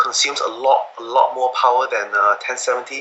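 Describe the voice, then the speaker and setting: A man speaks with a non-native accent. Noticeable background noise is heard behind him. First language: not English. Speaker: laptop hardware enthusiast. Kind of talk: technical interview. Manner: halting, many fillers and repetitions.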